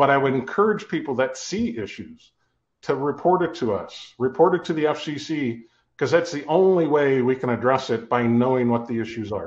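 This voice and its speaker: A man with a fairly high pitch talks at a moderate pace with lively intonation in a plain, everyday voice. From Ohio. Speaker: company CEO, telecom cost modeling expert. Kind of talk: webinar interview.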